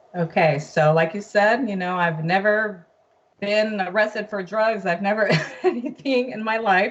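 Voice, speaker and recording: A woman talks in a plain, everyday voice. Her pitch is medium, with ordinary pitch variation. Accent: American. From US (raised from infancy, Brazilian-born). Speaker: guest, mother sharing her family court case. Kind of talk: testimony.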